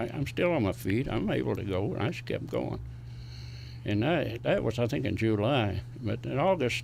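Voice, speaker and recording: A man speaks with an Appalachian accent at a moderate pace. Audible room echo surrounds his voice. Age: 90s. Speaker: war veteran. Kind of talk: interview, recounting war memories.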